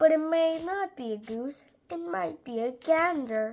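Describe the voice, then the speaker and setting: A woman's put-on character voice, high in pitch, at a moderate pace with very wide pitch swings and big swings in loudness. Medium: read story. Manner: firm, no-nonsense.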